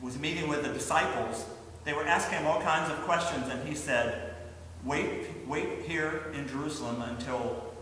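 A man talks at a moderate pace amid light background noise. Strong room echo surrounds his voice. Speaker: pastor. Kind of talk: children's sermon. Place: church. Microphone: camera far.

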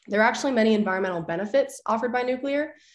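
A woman with an American accent at a very fast pace, ordinary pitch variation, audible room echo and a quiet background. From northern Illinois, Lake County; Illinois. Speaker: nuclear engineering PhD student; witness. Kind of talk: prepared public testimony. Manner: formal. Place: home room. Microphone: video call.

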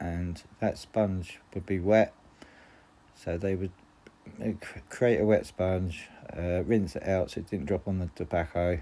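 Here a man speaks with a very deep, low pitch and a dark, mellow tone. His pace is fairly slow, with long, frequent pauses and fairly even intonation. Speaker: antiques collector. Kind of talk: show-and-tell presentation. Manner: halting, many fillers. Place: home room. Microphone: phone near.

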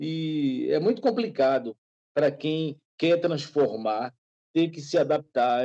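Dry and close with no echo, a man's dark, mellow voice with a Bahian accent moves at a fairly slow pace. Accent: Bahian Brazilian Portuguese. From Bahia, Brazil. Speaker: photographer. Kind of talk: casual interview.

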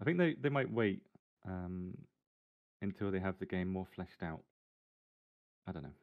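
Against a quiet background, a man with a very deep, low pitch speaks with long, frequent pauses. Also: moderate pace. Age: 30s. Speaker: gaming content creator. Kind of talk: casual interview. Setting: live stream. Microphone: video call.

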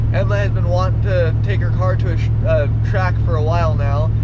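The sound of a man's voice is dry with no echo, set against loud background noise. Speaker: car vlogger. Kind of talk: casual vlog chat. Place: car. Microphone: phone near.

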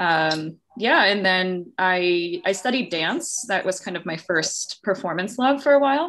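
A woman's medium-pitched voice in an American accent, fairly slow with hardly any pauses and very wide pitch swings. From Long Island, New York; New York. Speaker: theatre director and choreographer. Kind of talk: interview conversation. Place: home room. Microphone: video call.

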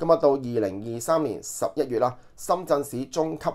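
A man talks in a normal speaking voice at a medium pitch. His pitch variation is ordinary, on a very clean recording with a silent background. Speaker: online news commentator. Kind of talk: news commentary monologue. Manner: filler-heavy, conversational.

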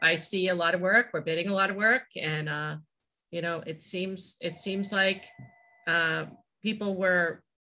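This woman speaks at a moderate pace with a slight Boston accent and fairly even intonation. Her voice is fairly low in pitch, with a bright, sharp tone. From Massachusetts, US. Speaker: flooring company president; guest. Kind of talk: interview. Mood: relaxed, conversational. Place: home room. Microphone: video call.

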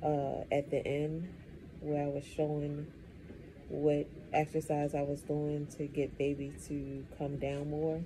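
A woman's very deep, low voice, dark and mellow in tone, monotone with flat intonation, over noticeable background noise. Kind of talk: casual vlog chat. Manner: slow, drowsy, low-energy halting speech. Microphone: phone near.

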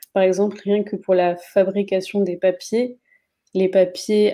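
Against a quiet background, a woman speaks at a fairly slow pace in a dark, mellow tone with monotone, flat intonation. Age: 20s. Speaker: graphic designer; guest. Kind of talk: interview. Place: home room. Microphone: video call.

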